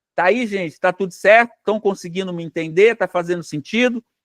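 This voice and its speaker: High-pitched and fairly even in intonation, the man's voice comes across with a dry, close sound and no echo. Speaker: psychoanalyst teacher. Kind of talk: lecture. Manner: halting, repeats words.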